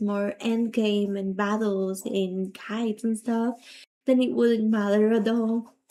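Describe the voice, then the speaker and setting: A fairly high-pitched woman with a non-native accent and a dark, mellow tone, fairly slow, on a very clean recording with a silent background. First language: not English. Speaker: gaming streamer. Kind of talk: livestream chat. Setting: livestream.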